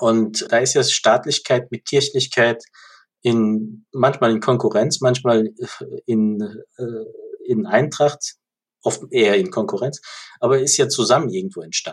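A man with a medium pitch speaks somewhat breathily, his intonation lively. He leaves long, frequent pauses. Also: fairly slow pace. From Germany, Ludwigshafen (Rhineland-Palatinate). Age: 40s. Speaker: organisational and policy consultant. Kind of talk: interview.

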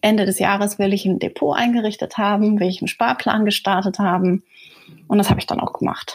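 Somewhat breathy and fairly quick, a woman speaks at medium pitch with fairly even intonation. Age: 30s. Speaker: surgeon. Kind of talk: interview.

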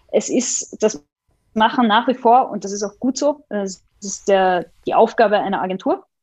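A woman speaks at a fairly slow pace with fairly high pitch. It is a normal speaking voice. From Austria, Vienna. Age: 20s. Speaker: opera database executive. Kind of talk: interview.

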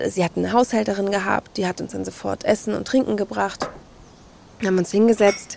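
Noticeable background noise fills the clip. A woman talks over it at a moderate pace. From Hamburg, northern Germany. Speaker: podcast guest. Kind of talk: personal storytelling interview.

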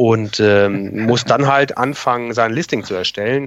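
This man's voice sits at a fairly low pitch. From northern Germany, near Kiel. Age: 40s. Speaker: Amazon seller consultant. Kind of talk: podcast interview.

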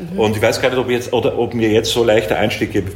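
Audible room echo and noticeable background noise surround a man talking in a medium pitch. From Upper Austria. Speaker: artist and filmmaker. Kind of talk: interview.

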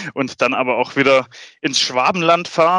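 The man's tone is bright and sharp. He talks at medium pitch and a moderate pace. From Swabia, Germany. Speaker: sales colleague. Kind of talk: casual chat.

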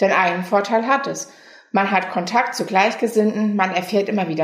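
Over noticeable background noise, the speech moves at a fairly quick pace. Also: woman. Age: 20s. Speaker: patient volunteer in a self-help association. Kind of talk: interview.

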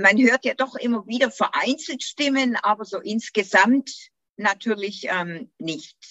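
Here is a woman with an unremarkable speaking voice and a fairly high pitch. She talks at a fairly slow pace with lively intonation. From Germany, Göppingen district (Swabia). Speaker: podcast host, English teacher and tour guide. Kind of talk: casual interview.

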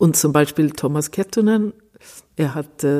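In a Swedish accent, a woman speaks at a fairly slow pace with a very deep, low pitch, a dark, mellow tone and ordinary pitch variation. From Sweden, Stockholm. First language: Swedish (speaking German). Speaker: cellist. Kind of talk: interview. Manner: halting.

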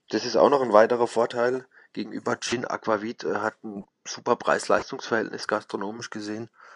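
A man's medium-pitched, monotone, flat delivery at a fairly quick pace, in a dry, close sound with no echo. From Baden, southwest Germany. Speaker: bartender. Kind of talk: interview.

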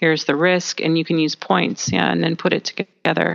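Vocal fry runs through this voice with a Canadian accent, recorded with a dry, close sound and no echo. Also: woman. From Canada. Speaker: communication trainer for auditors. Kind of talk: interview. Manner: enthusiastic.

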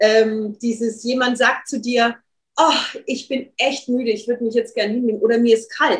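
The speaker has a normal speaking voice at a moderate pace. Intonation stays fairly even. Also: woman, fairly high pitch for a woman. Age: 40s. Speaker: dance therapist and workshop leader. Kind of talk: interview.

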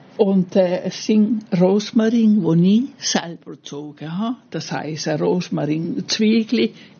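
With lively intonation, a woman speaks at a fairly slow pace in a somewhat breathy voice. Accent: Italian. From Italy. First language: Italian (speaking German). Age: 80s+. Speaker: gardener, host's mother. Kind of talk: personal story. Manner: halting.

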